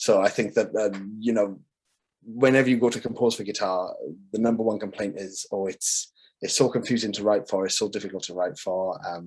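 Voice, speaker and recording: With a Welsh accent, a man speaks at a fairly quick pace in a fairly low pitch and with fairly even intonation. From Wales. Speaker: composer. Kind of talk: casual presentation.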